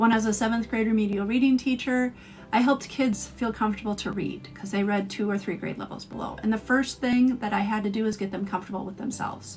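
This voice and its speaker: A woman with a fairly high voice talks at a very fast pace with hardly any pauses over noticeable background noise. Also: fairly even intonation. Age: 40s. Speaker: astrologer. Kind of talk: live stream talk.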